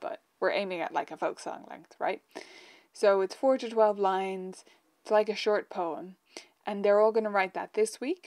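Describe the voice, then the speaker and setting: Over a quiet background, a woman talks at a moderate pace with lively intonation and big swings in loudness. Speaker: piano teacher. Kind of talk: casual live stream chat. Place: home room.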